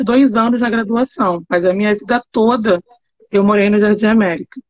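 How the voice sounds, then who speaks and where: At a moderate pace, a woman speaks in a somewhat breathy voice with ordinary pitch variation, the sound dry and close with no echo. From Rio de Janeiro. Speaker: university professor. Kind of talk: casual chat.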